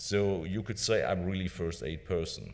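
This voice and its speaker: Audible room echo surrounds a speaker with a German accent. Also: man. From Germany. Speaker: palliative care doctor. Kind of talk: conference lecture. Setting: conference stage with audience.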